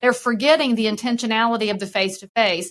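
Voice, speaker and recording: Bright and sharp in tone, a woman's voice sits fairly high in pitch. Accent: Southern US. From US South. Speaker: real estate broker and keynote speaker. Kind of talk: podcast interview.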